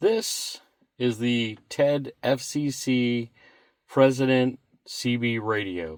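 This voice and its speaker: Over a silent background in a very clean recording, a man speaks at a very slow pace. His medium pitch shows ordinary variation. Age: 60s. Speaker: product reviewer. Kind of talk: casual product review. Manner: casual, halting.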